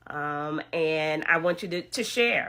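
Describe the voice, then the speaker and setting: An animated tone comes through on a very clean recording with a silent background. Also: woman. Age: 60s. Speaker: podcast host and author. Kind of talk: motivational talk.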